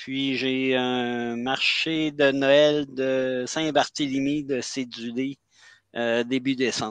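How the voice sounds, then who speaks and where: In a Quebec accent, a man of medium pitch speaks very slowly with monotone, flat intonation. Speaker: self-published author. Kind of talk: casual live chat. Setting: video call. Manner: halting.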